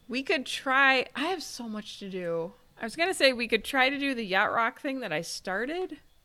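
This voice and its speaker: High-pitched and bright with a sharp tone, a woman uses a raised, projected voice at a moderate pace. Her pitch swings very widely and her loudness shifts in big swings. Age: 40s. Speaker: podcast co-host. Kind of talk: casual chat. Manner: animated.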